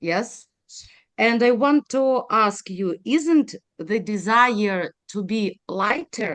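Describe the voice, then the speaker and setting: Someone with a Ukrainian accent speaks at a very slow pace, the sound dry and close with no echo. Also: woman. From Ukraine. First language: Ukrainian or Russian. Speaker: audience member asking questions. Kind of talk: live Q&A question. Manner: halting, many hesitations.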